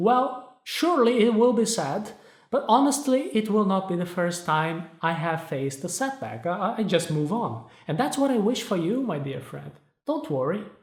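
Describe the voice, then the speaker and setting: The speaker has a Portuguese accent and keeps a moderate pace. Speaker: self-help video host. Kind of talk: motivational talk to camera.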